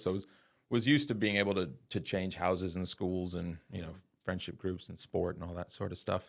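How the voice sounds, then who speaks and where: Very fast delivery with a slight American accent. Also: man, very clean recording, silent background. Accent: slight American twang. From USA (California, Texas). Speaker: entrepreneur. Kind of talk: podcast interview.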